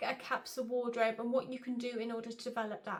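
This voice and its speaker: This woman has a high-pitched voice. She speaks with a British accent. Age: 30s. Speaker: style coach and vlogger. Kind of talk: casual vlog talk to camera.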